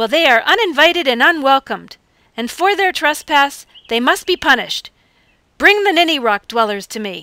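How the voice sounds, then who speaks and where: This is a put-on character voice that sounds female. It sits at a high pitch for a woman. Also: moderate pace. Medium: audio drama. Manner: imperious, scornful.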